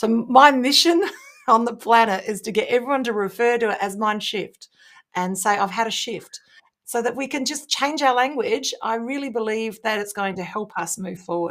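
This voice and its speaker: The pace is moderate. The pitch varies in an ordinary way. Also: woman, fairly high pitch for a woman. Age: 50s. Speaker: business strategist and keynote speaker. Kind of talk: interview podcast.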